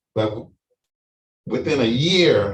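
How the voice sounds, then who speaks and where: Very slow and somewhat breathy, with ordinary pitch variation. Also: man. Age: 60s. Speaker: prostate cancer survivor, panelist. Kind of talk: testimony. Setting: online live-streamed panel. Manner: halting, many fillers.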